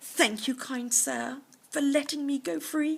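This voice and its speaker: Using a put-on character voice, a woman speaks at a high pitch. Her pace is fairly slow. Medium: read story. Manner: formal, falsely polite.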